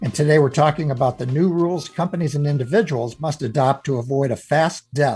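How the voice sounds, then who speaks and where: On a very clean recording with a silent background, a man with a fairly high pitch and a dark, mellow, somewhat breathy tone speaks at a fairly quick pace with fairly even intonation. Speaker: radio host. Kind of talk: interview.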